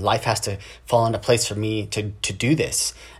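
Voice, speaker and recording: A man's somewhat breathy voice at a medium pitch. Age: 30s. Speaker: podcast host. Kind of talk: solo monologue. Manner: casual.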